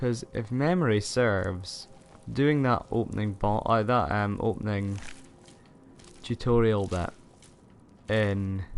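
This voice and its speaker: A man talks at a very slow pace with long, frequent pauses, using a fairly low pitch and ordinary pitch variation. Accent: Scottish. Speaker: gaming streamer. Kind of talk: live gameplay commentary. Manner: casual, halting.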